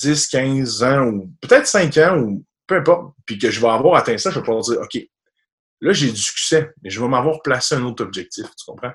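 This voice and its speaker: Lively in intonation, a man uses an ordinary speaking voice at a medium pitch and a fairly slow pace. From Quebec, rural area near Quebec City. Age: 20s. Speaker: commercial mortgage broker. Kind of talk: interview. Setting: video call.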